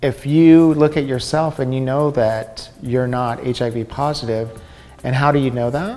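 A man speaks at a fairly slow pace with fairly even intonation. Faint music plays in the background. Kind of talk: interview answer. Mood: calm, explanatory.

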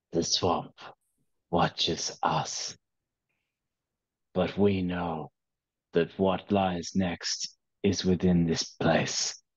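A put-on character voice from a man, very deep and low, monotone and flat, very slow, with long, frequent pauses. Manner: cryptic, solemn.

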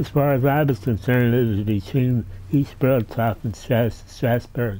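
In an American accent, a man talks at a fairly slow pace with a dark, mellow tone and ordinary pitch variation. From southeastern Pennsylvania (Doylestown). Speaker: retired railroad museum director and rail historian. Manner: gently amused, chuckling warmly at his own anecdotes. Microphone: camera far.

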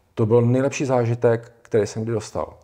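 A somewhat breathy male voice with a dark, mellow tone over a quiet background. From Czech Republic. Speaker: psychosomatic therapist; interview guest. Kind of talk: casual interview. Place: studio. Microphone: lapel.

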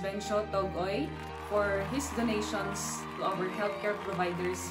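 Loud background music plays throughout. Over it, a woman speaks. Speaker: vlogger. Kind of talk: casual vlog chat. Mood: warm, positive. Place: home room. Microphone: phone near.

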